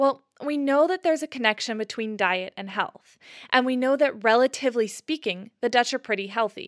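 Recorded very cleanly against a silent background, a woman with an American accent talks at a moderate pace in a high pitch, the sound dry and close with no echo. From US Pacific Northwest (near Seattle). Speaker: podcast host. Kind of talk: scripted narration.

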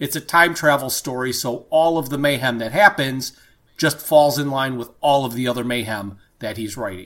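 Using a normal speaking voice, a man talks at a moderate pace and medium pitch with ordinary pitch variation, on a very clean recording with a silent background. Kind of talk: infomercial parody, scripted ad read.

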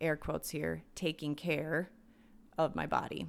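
Speaking at a moderate pace, a woman with an American accent has a very deep, low pitch. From US Midwest, southern Minnesota. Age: 40s. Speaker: wellness podcast host. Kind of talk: solo podcast monologue. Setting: home.

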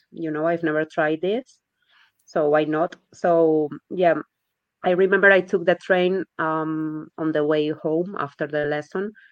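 A woman speaks with a Spanish accent and a very deep, low pitch. Her pace is fairly slow. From Spain. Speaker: language learner, competition winner. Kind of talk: interview. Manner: halting, repeats words.

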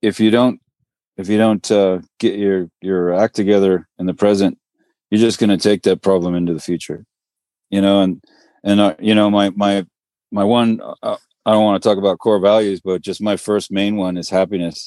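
Speaking with an American accent, a man with a fairly low pitch and a dark, mellow tone delivers his words at a moderate pace in a flat monotone, leaving long, frequent pauses, with a dry, close sound free of echo over a quiet background. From Northern California, Marin County. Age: 50s. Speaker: microgreens business owner. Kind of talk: podcast interview.

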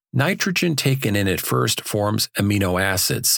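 On a very clean recording with a silent background and a dry, close sound with no echo, a man with a fairly low pitch speaks with vocal fry and lively intonation. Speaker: audiobook narrator. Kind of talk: audiobook reading of a technical agricultural text. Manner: steady, measured, formal narration with even pacing.

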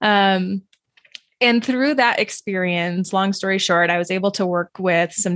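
A woman with an American accent, an ordinary speaking voice, medium pitch and a moderate pace. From US Southwest, New Mexico. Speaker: registered dietitian. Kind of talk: interview.

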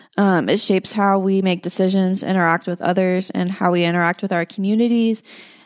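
In a plain, everyday voice with an American accent, a woman speaks at a fairly quick pace and medium pitch with ordinary pitch variation, in a dry, close sound with no echo on a very clean recording with a silent background. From Houston, Texas suburbs. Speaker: occupational therapy student. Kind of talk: interview.

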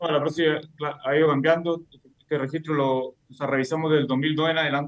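A man with a Chilean accent talks at a fairly quick pace. His pitch is fairly high and his intonation fairly even. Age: 30s. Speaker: orthopedic surgeon, researcher. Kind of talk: interview. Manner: halting, many fillers and repetitions.

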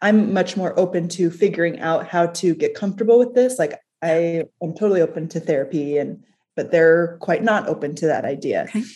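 Against a quiet background, a woman with a dark, mellow tone and fairly low pitch talks at a fairly quick pace with ordinary pitch variation. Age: 30s. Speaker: listener seeking coaching. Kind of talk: personal conversation. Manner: hesitant, halting.

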